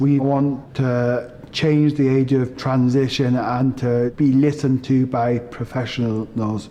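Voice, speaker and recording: Against noticeable background noise, a man with a Northumbrian accent speaks very slowly at a medium pitch, monotone and flat, at a very even loudness and with hardly any pauses. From northern England, Northumberland. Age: 20s. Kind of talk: documentary narration.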